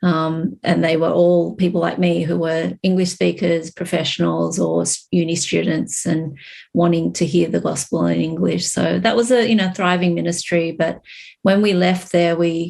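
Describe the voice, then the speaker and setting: Here a woman speaks in an Australian accent. Her pace is moderate. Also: very even loudness. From Australia, Sydney. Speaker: church co-founder and business owner. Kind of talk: interview conversation. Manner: hesitant, many fillers.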